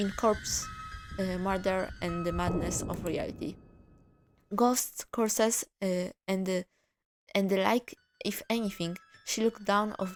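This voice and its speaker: Music plays in the background as a woman talks at a fairly slow pace with fairly even intonation and long, frequent pauses. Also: medium pitch for a woman. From Japan. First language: Japanese. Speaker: streamer reading visual novels. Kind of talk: reading aloud. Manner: halting, frequent stumbles and self-corrections.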